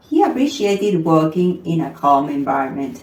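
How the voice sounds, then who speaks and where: A woman with a non-native accent and very wide pitch swings. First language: not English. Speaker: storyteller. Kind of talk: reading aloud.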